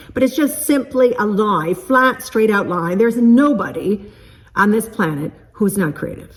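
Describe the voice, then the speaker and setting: Noticeable background noise sits behind a woman with a fairly high voice. Her intonation is lively and her tone animated. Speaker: creativity coach and vlogger. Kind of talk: motivational vlog talk. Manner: fast.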